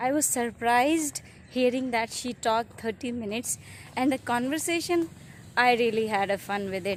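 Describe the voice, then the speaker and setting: With an Indian accent, a woman talks at a high pitch with ordinary pitch variation. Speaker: YouTuber, mother. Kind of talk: casual vlog intro.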